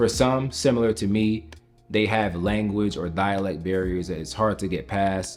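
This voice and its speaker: A man with an American accent talks at a moderate pace over music in the background. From United States, Jamaican household. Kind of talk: casual talk to camera.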